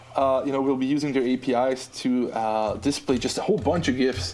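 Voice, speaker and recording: A man with an Austrian accent speaks at a moderate pace. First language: German. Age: 20s. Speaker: app designer. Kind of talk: casual podcast interview.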